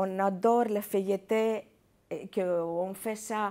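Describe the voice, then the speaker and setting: Here a woman speaks at a medium pitch. The recording is very clean and the background silent. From Greece. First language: Greek (speaking French). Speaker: chef and restaurant owner. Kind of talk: TV interview. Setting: TV studio. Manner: halting, many hesitations.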